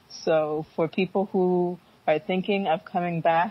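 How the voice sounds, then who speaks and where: Her intonation fairly even, a woman speaks with a Northeastern US accent. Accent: US Northeast American. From US Northeast, Philadelphia suburbs. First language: Fanti. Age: 20s. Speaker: entrepreneur. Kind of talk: interview.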